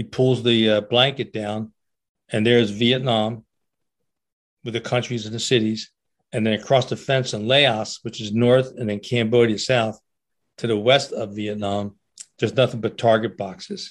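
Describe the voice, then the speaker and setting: Against a quiet background, the speaker talks in a flat monotone with a New Jersey accent and long, frequent pauses. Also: man, medium pitch for a man, moderate pace. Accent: New Jersey American. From US, Trenton, New Jersey. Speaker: war veteran and author. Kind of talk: interview storytelling.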